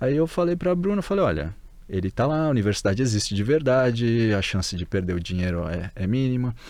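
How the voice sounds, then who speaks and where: Against a quiet background, a man of medium pitch talks at a very fast pace with very wide pitch swings. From Brazil. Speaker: Brazilian emigrant and former graduate student. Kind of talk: casual interview.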